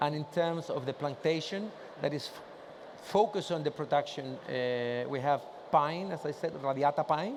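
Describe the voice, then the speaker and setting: Speaking with a Spanish accent, a man keeps a fairly high pitch and a moderate pace. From Chile. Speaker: industry association president. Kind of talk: conference presentation with Q&A. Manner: casual, joking.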